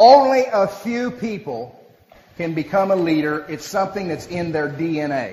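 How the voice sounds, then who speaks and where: A man with an American accent speaks at high pitch with lively intonation. Audible room echo and noticeable background noise fill the recording. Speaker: motivational speaker, business leader. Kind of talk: speech to an audience with interpreter. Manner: fast.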